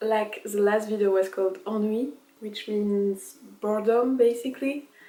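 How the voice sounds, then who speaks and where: With a French accent, a woman speaks in a fairly high pitch. Her intonation stays fairly even. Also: moderate pace. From France. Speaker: vlogger. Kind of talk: casual vlog monologue.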